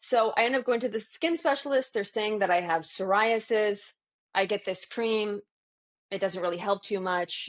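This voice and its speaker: With a Canadian accent and a normal speaking voice, a woman speaks at medium pitch and a moderate pace, her pitch varying in an ordinary way, the sound dry and close with no echo over a quiet background. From Canada, southwestern Ontario. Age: 30s. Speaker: alternative healthcare practitioner. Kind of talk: personal testimony. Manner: casual, with fillers and restarts.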